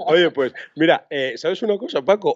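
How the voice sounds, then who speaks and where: A man with a normal speaking voice, a fairly quick pace and ordinary pitch variation, in a dry sound with no echo and a quiet background. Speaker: podcast host, photography teacher. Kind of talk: casual chat. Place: home room. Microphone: studio mic.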